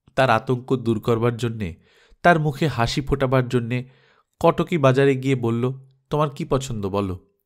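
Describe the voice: Plain reading aloud with ordinary pitch variation and a quiet background.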